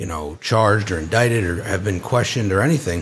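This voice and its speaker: A man speaks at a fairly quick pace in a somewhat breathy voice. The recording is very clean, with a silent background. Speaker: January 6 attendee, guest. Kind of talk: casual chat, firsthand account.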